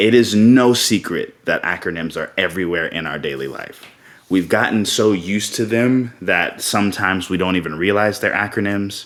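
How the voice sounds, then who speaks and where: Using a plain, everyday voice with an American accent, a man talks at a moderate pace in a fairly low pitch with ordinary pitch variation. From South Carolina. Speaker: open source community manager; military veteran. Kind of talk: conference talk.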